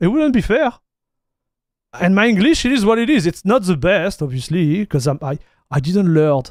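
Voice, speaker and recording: A man with a French accent at a high pitch and moderate pace, with very wide pitch swings and long, frequent pauses. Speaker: tech streamer. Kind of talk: livestream commentary. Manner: halting, many restarts; casual, animated.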